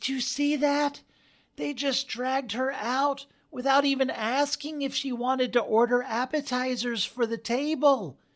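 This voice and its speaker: A put-on character voice at a high pitch comes through on a very clean recording with a silent background. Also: moderate pace. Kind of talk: melodramatic horror heroine. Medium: read story.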